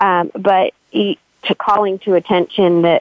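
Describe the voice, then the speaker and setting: In a plain, everyday voice, a woman talks at a mid-range pitch. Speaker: author. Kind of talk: casual interview. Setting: online call.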